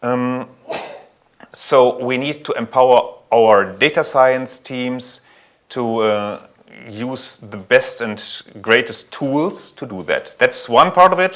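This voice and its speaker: With a German accent, a man speaks at a very slow pace and medium pitch, his pitch varying in an ordinary way while his loudness swings widely. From Germany. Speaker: IT security architect at a bank. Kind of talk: conference talk. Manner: frequent fillers and self-corrections.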